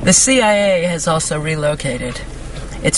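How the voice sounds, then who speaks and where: Someone with an American accent talks over noticeable background noise. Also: woman. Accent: New York accent comes back when tired. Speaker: conspiracy video blogger. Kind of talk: reading aloud and commenting on an article.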